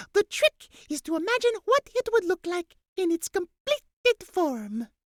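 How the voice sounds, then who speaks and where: A squeaky, put-on character voice moves at a moderate pace. Its pitch swings very widely. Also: woman, extremely high pitch for a woman. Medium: read story. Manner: slow, drowsy, repeats "yes".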